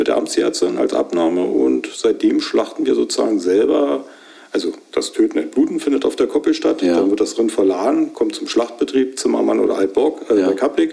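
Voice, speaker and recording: There is noticeable background noise. Through it, a man speaks fairly quickly. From Brandenburg, Hoher Fläming. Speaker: cattle farmer and butcher. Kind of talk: interview.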